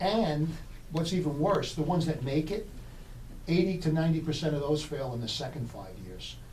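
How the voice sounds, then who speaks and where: Audible echo from the room, a moderate pace and ordinary pitch variation. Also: man, fairly high pitch for a man. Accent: New York. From New York City. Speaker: business consultant. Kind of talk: radio interview. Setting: radio studio.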